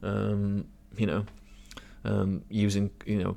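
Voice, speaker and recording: Pitched fairly low, a man talks with a British accent. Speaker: podcast host. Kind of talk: casual chat. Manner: hesitant, filler-heavy.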